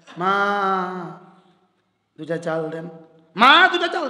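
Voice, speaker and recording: A man's put-on character voice, high-pitched, raised and projected, with very wide pitch swings. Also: moderate pace. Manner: pitiful, pleading, plaintive, humble.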